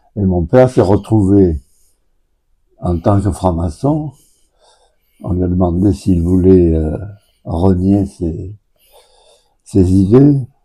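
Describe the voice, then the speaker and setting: A man talks at a very slow pace in a very deep, low voice with a dark, mellow tone and some breathiness. His pitch varies ordinarily, and he leaves long, frequent pauses. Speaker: local elder, son of a Resistance member. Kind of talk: radio interview. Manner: halting.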